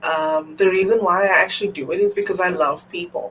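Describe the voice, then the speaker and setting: A woman at medium pitch and moderate pace, with noticeable background noise. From South Africa. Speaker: entrepreneur, executive assistant. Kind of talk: interview. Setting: live stream.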